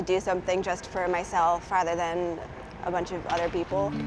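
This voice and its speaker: Speaking at a fairly quick pace with an American accent, a woman holds a medium pitch against noticeable background noise. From New Jersey. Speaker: stand-up comedian. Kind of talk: interview answer.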